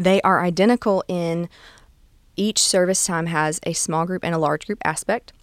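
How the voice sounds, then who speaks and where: Speaking at a moderate pace, a woman with a Southern US accent has a fairly low pitch, and the sound is dry and close with no echo. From US South, south Alabama near Gulf Shores. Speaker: children's ministry manager. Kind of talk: interview. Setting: studio.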